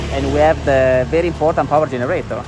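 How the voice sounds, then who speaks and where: In an Italian accent, the speaker races at a very fast pace with very wide pitch swings, music in the background and audible room echo. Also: man. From Italy. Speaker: architect. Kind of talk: guided tour. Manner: halting, many fillers.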